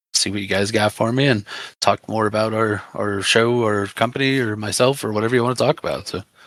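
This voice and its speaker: A man's fairly quick, fairly even voice at a medium pitch, in a very clean recording with a silent background. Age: 30s. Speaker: wrestling promoter. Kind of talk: interview. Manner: halting.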